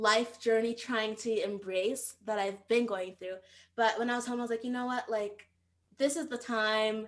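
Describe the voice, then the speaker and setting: A woman's unremarkable speaking voice, fairly high in pitch, with fairly even intonation and a moderate pace. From United States, Nigerian immigrant family. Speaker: startup founder. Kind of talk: podcast interview. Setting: remote call.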